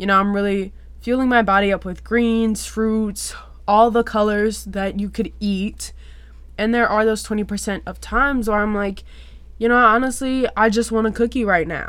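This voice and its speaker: In an ordinary speaking voice, a woman with an American accent speaks at a moderate pace, her medium pitch carried on fairly even intonation. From US South, South Louisiana. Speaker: podcast host. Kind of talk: casual solo podcast talk.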